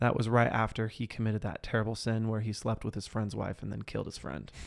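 Fairly low in pitch, a man talks with fairly even intonation. The recording is very clean, and the background is silent. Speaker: podcast host. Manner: slow, pauses a lot between words; slow.

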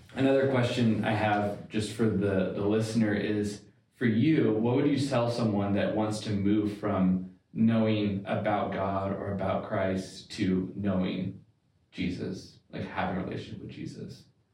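A man's somewhat breathy, dark, mellow voice, fairly low in pitch, at a fairly slow pace with fairly even intonation. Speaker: podcast co-host and editor. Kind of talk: casual interview.

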